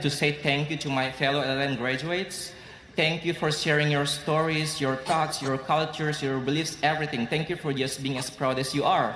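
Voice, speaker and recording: A man's fairly high voice with an Indonesian accent, fairly quick pace, audible room echo and noticeable background noise. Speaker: law graduate student. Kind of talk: graduation speech. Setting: stage with audience.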